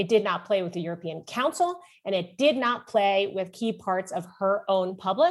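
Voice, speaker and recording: A woman's unremarkable speaking voice at a medium pitch, with lively intonation and a moderate pace. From German American, dual citizen. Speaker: foreign policy think tank director. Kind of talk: policy discussion.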